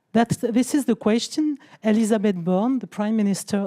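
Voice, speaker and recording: Speaking at a moderate pace with a French accent, a woman has a dark, mellow tone and ordinary pitch variation in a dry, close sound with no echo. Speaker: citizens' convention organiser. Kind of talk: panel discussion.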